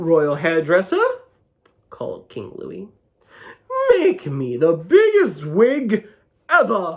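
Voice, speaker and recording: In a put-on character voice pitched high for a man, he speaks at a very slow pace with long, frequent pauses and big swings in loudness. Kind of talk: children's picture book read-aloud. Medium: read story. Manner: playful, animated.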